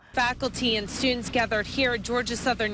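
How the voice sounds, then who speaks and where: Very fast speech over noticeable background noise. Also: woman. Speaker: news anchor and reporter. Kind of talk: TV news read.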